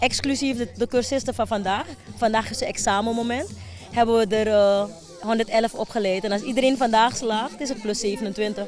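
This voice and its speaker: Fairly high in pitch, a woman speaks at a moderate pace with fairly even intonation. The sound is dry with no echo, over light background noise. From Suriname, Wanica district; Suriname. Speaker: foundation director. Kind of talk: TV news interview. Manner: halting, with many fillers. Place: open country. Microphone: handheld.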